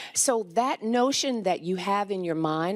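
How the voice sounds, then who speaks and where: Woman with an ordinary speaking voice, medium pitch and lively intonation at a fairly slow pace, very clean recording, silent background. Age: 60s. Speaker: physician. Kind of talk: conference panel talk.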